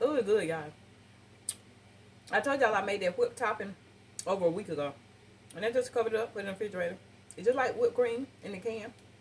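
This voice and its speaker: A somewhat breathy woman with a fairly high pitch and ordinary pitch variation talks at a very fast pace, broken by long, frequent pauses. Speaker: cooking channel host. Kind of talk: cooking tutorial. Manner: animated.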